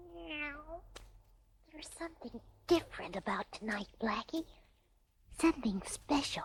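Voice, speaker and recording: A put-on character voice speaks at a high pitch and moderate pace. Long pauses come often. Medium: audio drama. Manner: soft, wondering.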